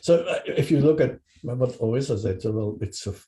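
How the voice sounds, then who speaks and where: A somewhat breathy man with a Dutch accent, a dark, mellow tone and ordinary pitch variation. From Netherlands. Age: 60s. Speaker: podcast interviewer. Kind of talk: interview. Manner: halting.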